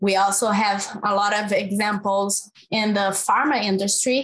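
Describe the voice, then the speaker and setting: The speaker has a Brazilian accent and talks at a very slow pace. The loudness stays very even. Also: woman. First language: Portuguese. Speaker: climate finance researcher. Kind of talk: panel discussion.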